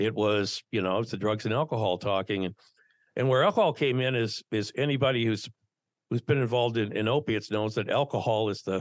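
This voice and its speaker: Here a man speaks with an American accent at a medium pitch. He talks at a fairly quick pace with ordinary pitch variation. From Minnesota, US Midwest. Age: 60s. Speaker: former radio broadcaster and peer addiction coach. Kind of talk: interview, personal testimony. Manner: halting, many repeated words.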